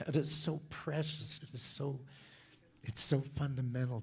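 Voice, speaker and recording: A man talks at a fairly slow pace, somewhat breathy, on a very clean recording with a silent background. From Southern California. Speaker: church speaker. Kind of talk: sermon.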